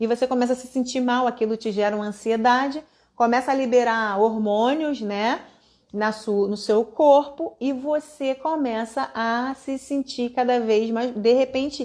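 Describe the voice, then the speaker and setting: This woman's voice sits high in pitch. She talks at a fairly slow pace with fairly even intonation. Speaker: online course instructor. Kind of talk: live online class.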